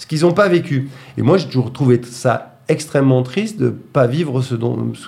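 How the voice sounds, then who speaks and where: Using vocal fry, a man speaks at a medium pitch with ordinary pitch variation. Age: 40s. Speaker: actor and theatre director. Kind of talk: radio interview. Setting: radio studio. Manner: halting, many hesitations.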